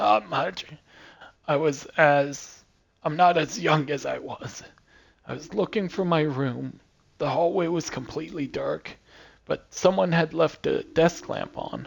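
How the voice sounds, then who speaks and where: Putting on a raspy character voice, a man speaks at a fairly slow pace in a fairly high pitch, with ordinary pitch variation and long, frequent pauses. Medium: game stream. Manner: cantankerous, grumbling.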